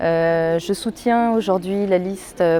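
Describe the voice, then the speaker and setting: Intonation stays fairly even as the words come out very slowly. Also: woman. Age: 30s. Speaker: local political candidate. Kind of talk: campaign statement. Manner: hesitant, many fillers.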